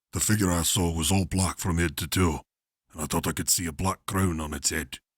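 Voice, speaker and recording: Putting on a character voice, a man speaks in a stern tone at a very deep, low pitch and a fairly quick pace, with fairly even intonation, in a dry, close, echo-free and very clean recording with a silent background. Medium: read story. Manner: gruff, stern.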